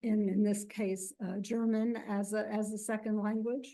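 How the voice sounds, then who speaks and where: A woman with a fairly high pitch and a dark, mellow tone speaks fairly slowly in a flat monotone. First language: Yiddish. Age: 70s. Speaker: professor. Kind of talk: lecture. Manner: halting.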